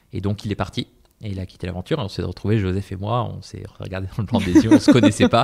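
Very fast, somewhat breathy speech with big swings in loudness, fairly even intonation, and a very clean recording over a silent background. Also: man, fairly low pitch for a man. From southern Spain (Malaga). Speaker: startup founder. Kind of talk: casual interview.

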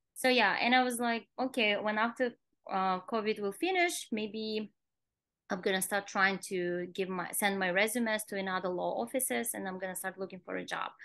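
A woman's bright, sharp tone at medium pitch, ordinary pitch variation and a moderate pace, against a quiet background. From Kazakhstan. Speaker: nail salon owner; podcast guest. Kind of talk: interview. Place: home room. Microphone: video call.

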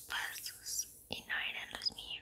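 A woman's whisper at a very slow pace. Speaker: ASMR content creator. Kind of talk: whispered poetry reading for sleep. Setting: ASMR video, close microphone. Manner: whispered, soft. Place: home room. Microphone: studio mic.

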